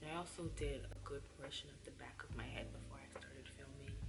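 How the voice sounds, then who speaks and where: Soft-spoken, a woman talks at a moderate pace against noticeable background noise. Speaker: hair care youtuber. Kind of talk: tutorial. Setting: at home. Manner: soft-spoken, low volume.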